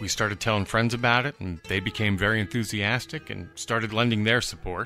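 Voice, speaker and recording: A man speaks at a fairly quick pace with a fairly low pitch and fairly even intonation. Music plays in the background. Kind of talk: promotional appeal.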